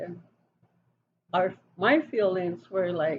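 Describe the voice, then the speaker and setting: Somewhat breathy and medium in pitch, a woman speaks at a very slow pace. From Wyoming, Wind River Reservation (Northern Arapaho). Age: 60s. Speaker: interviewee. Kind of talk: interview. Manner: hesitant, with many fillers.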